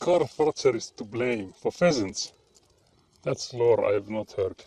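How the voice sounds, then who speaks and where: A man with a Finnish accent speaks at a fairly slow pace. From Finland. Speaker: livestreamer. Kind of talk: casual chat.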